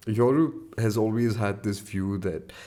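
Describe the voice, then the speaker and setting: A man at a fairly slow pace, his pitch fairly low and his tone dark and mellow. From India. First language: an Indian language. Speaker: podcast host. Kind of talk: solo podcast monologue. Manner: casual, conversational.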